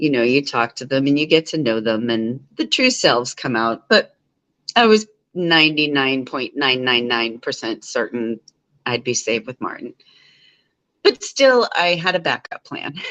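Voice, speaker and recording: A woman mumbles at a moderate pace in a very deep, low pitch. Her intonation is lively, and the sound is dry and close with no echo. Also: quiet background. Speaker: live streamer. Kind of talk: casual chat. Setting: live stream from home living room. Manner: rambling, mumbling.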